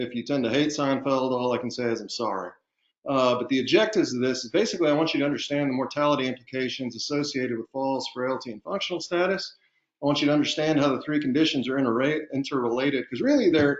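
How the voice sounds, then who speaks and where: Delivered at a very fast pace with ordinary pitch variation, the speech has a slight Southern US accent. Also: man, fairly high pitch for a man. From Texas. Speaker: physician and underwriting medical specialist. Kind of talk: webinar lecture. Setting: online webinar. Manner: casual, with filler words.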